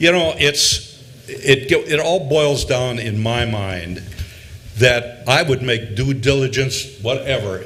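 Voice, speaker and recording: Noticeable background noise sits behind a man speaking at a fairly slow pace. His medium-pitched voice shows ordinary pitch variation. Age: 70s. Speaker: business owner and airport tenant. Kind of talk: public comment at a board meeting. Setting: board meeting.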